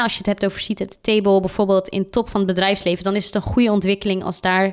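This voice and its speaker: In a very clean recording with a silent background, a woman at a medium pitch talks at a very fast pace. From Netherlands, Randstad. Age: 20s. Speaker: diversity consultant. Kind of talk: interview.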